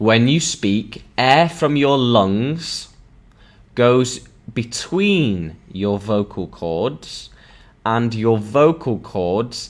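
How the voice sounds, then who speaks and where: Very slowly, a man speaks with lively intonation. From northern England, Sheffield. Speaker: English teacher. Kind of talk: online language lesson. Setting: live stream. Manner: slow, repetitive for learners.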